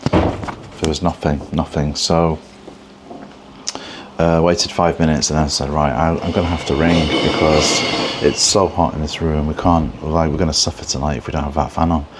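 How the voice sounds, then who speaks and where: A quiet man speaks at a moderate pace in a very deep, low pitch with monotone, flat intonation. Noticeable background noise runs underneath. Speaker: travel vlogger. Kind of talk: casual vlog talk to camera. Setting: hotel room. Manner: quiet, hushed; halting, many fillers.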